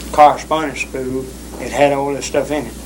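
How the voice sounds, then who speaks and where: With a Southern US accent, a man talks at a fairly high pitch over noticeable background noise. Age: young. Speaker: psychiatric patient. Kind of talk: interview answer.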